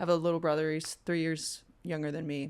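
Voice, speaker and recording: The voice carries an American accent. The recording is very clean, with a silent background. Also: woman. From Virginia (Stafford). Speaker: musician. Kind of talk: casual chat.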